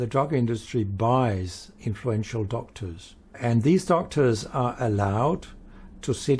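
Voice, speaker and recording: A man's somewhat breathy voice with a dark, mellow tone and lively intonation at a fairly slow pace, on a very clean recording with a silent background. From Denmark. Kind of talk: interview.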